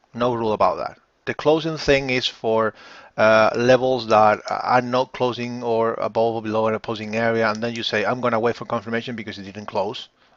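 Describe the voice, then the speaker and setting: Against a quiet background, a man speaks at a medium pitch and a fairly quick pace. His intonation stays monotone and flat. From Spain. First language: Spanish. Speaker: forex trading educator. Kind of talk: live webinar. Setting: live online stream.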